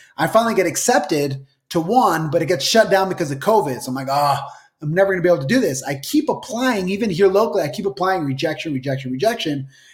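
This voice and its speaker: Talking very fast with lively intonation, a man with an American accent uses a high pitch. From Utah. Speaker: real estate broker. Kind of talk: interview.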